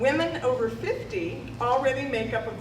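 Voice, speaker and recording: Noticeable background noise and audible room echo are present. Over them, a woman talks with an American accent. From California, Modesto area. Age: 60s. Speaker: mayor. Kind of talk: public speech. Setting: ribbon cutting event with audience.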